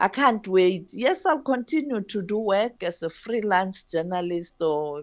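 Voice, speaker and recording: A woman with an ordinary speaking voice and medium pitch talks at a fairly slow pace with lively intonation and hardly any pauses. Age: 60s. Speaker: retiring journalist and news editor. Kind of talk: radio interview.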